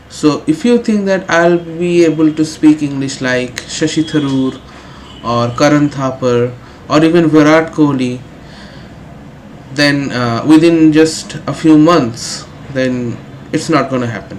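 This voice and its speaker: There is noticeable background noise as a man speaks at a fairly slow pace. His pitch is fairly high, with ordinary pitch variation. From India. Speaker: English teacher. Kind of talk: tutorial. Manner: frequent hesitations (uh).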